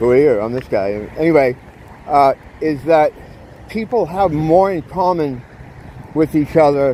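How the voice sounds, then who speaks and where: Over noticeable background noise, a man with a fairly high voice talks with lively intonation. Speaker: vlogger. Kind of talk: casual vlog monologue while walking. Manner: fast; animated.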